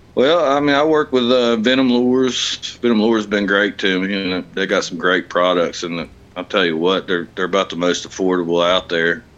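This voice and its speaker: A fairly low-pitched man with an Appalachian accent, lively intonation, a fairly quick pace, and hardly any pauses. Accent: Appalachian American. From West Virginia. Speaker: kayak tournament angler. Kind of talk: casual interview.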